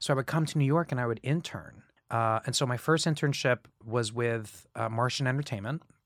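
In a very clean recording with a silent background and a dry, close sound with no echo, a man speaks at a fairly quick pace in a plain, everyday voice, medium in pitch with ordinary variation. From Central Florida (Kissimmee, near Orlando). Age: 30s. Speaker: musical theater actor. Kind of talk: interview.

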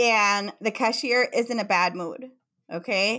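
At a fairly slow pace, someone speaks with a Mexican accent in a very clean recording with a silent background. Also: woman. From Mexico. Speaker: psychotherapist. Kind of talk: interview.

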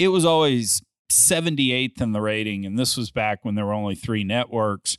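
An ordinary speaking voice with lively intonation. The background is quiet and the sound is dry and close with no echo. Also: man. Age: 50s. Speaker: private equity investor and podcaster. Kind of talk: casual chat.

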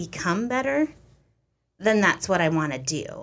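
At a moderate pace, a woman of medium pitch speaks with an American accent. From US small town. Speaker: interview guest married to a Ugandan man. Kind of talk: casual interview.

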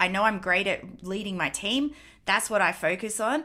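A woman with an Australian accent is heard in a very clean recording against a silent background. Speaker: podcast host and dance studio owner. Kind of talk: interview.

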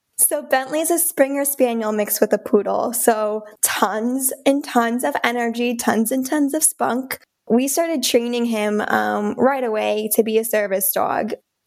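Speaking at a fairly slow pace, a woman with a Midwestern American accent uses a high pitch and ordinary pitch variation. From Michigan, Lansing area. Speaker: trauma survivor and advocacy founder. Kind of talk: interview.

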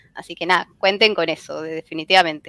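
A woman with a fairly low pitch talks at a very fast pace with fairly even intonation, in a dry, close sound with no echo. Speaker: fan website editor. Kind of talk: casual chat.

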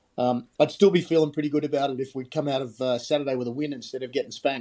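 This voice talks at a very fast pace with a dark, mellow tone and an Australian accent. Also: man. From Australia (Sydney), born in Scotland. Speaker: ice hockey coach. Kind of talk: interview.

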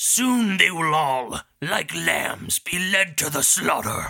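A put-on character voice moves at a very slow pace in a middle pitch. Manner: menacing, ominous.

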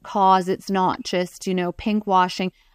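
A woman talks at a medium pitch and a fairly slow pace. The sound is dry and close with no echo, on a very clean recording with a silent background. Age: 40s. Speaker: breast cancer patient advocate. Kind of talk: interview.

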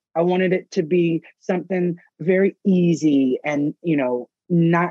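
The speaker has a Southern US accent and ordinary pitch variation. The sound is dry and close, with no echo. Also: man. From US South, Mississippi. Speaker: parenting blogger and author. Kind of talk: interview conversation.

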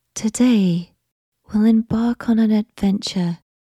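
At a very slow pace, a woman speaks in a calm, soothing, somewhat breathy tone, her fairly high pitch held to fairly even intonation. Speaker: sleep meditation guide. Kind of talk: guided sleep meditation, gently instructing breathing and relaxation. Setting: studio recording with background music and nature sounds. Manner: slow, soothing pace with long pauses between short cues; soft-spoken, calm and hushed, lulling toward sleep.

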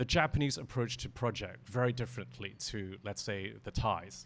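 Vocal fry at a moderate pace, with ordinary pitch variation. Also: man. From Hong Kong. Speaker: interior designer. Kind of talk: panel discussion. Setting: live audience.

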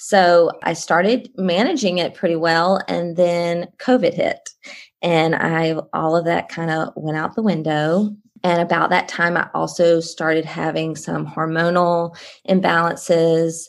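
A woman with a Southern US accent speaks at a fairly slow pace and fairly even intonation, recorded very cleanly with a silent background. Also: fairly low pitch for a woman. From Columbia, South Carolina. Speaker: guest, homeschooling mom and CBD consultant. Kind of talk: casual interview chat.

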